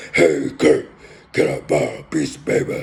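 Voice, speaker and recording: Using a put-on, gravelly character voice, a man talks at a moderate pace. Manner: gravelly cartoon-villain.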